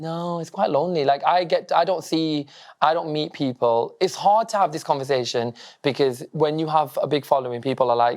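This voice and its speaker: This man's fairly high voice has ordinary pitch variation and a fairly quick pace. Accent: northern English. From northern England, Blackburn, Lancashire. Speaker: social media comedian, former teacher. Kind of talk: casual interview chat. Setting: stage with live audience, lecture theatre.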